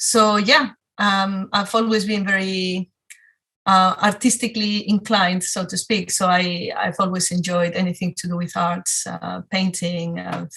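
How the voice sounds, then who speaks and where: With a strong Spanish accent, a woman speaks at a fairly slow pace. Her tone is bright and sharp, and her pitch is medium. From Spain, Madrid. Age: 40s. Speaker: photographer. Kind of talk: talk to a club audience. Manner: hesitant, many fillers.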